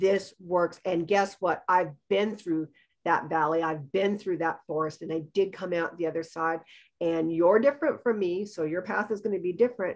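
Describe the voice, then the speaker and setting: A woman's fairly low voice at a moderate pace, with ordinary pitch variation and a quiet background. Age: 60s. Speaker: eating disorder recovery practitioner. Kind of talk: podcast interview. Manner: animated.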